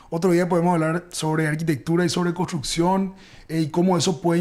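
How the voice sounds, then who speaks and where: A man's high voice, its intonation fairly level. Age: 30s. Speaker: architect. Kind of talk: interview.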